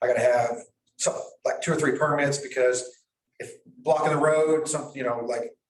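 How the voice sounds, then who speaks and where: The speaker has an American accent and a somewhat breathy voice. The pace is fairly quick. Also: man. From US South (southern Missouri). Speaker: property owner at a nuisance hearing. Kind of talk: testimony. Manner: halting.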